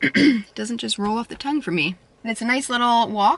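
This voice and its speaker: The speech moves at a fairly quick pace with ordinary pitch variation, and the sound is dry with no echo. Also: woman. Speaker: vlogger. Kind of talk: casual vlog chat. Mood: cheerful, relaxed. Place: car. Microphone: phone near.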